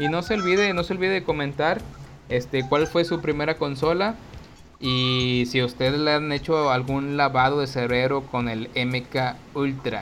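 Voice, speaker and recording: A man at a fairly slow pace over noticeable background noise. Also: fairly high pitch for a man, ordinary pitch variation. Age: 30s. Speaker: podcast co-host. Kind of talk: show outro announcements; casual chat.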